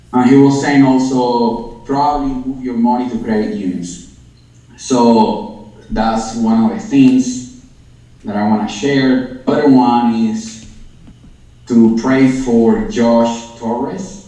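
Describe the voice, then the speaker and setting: A man speaks at a very slow pace with a non-native accent. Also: medium pitch for a man, ordinary pitch variation. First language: not English. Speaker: crypto and prophecy show host. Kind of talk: livestream chat. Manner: halting.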